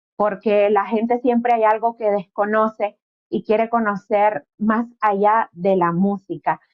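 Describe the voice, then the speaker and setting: An ordinary speaking voice from a woman, fairly high in pitch, at a fairly slow pace, with fairly even intonation and very even loudness. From Nicaragua, Caribbean coast. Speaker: interviewer. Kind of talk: interview.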